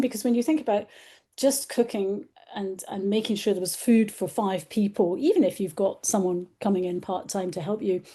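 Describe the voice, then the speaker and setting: Against a quiet background, a woman talks in a somewhat breathy, dark, mellow tone at a fairly high pitch, with ordinary pitch variation. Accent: British. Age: 60s. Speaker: journalist and author. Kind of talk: casual interview.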